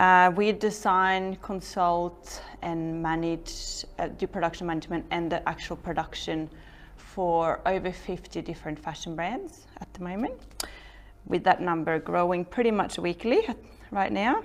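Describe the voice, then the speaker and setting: With a Norwegian accent, the speaker talks at a fairly slow pace and ordinary pitch variation. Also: woman, fairly low pitch for a woman. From Norway. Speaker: entrepreneur. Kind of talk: talk to an audience.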